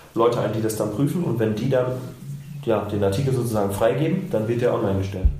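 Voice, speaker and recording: Over noticeable background noise and audible room echo, a man talks at a fairly quick pace with medium pitch and ordinary pitch variation. Long pauses break up his speech frequently. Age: 20s. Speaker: podcast co-host. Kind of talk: casual chat.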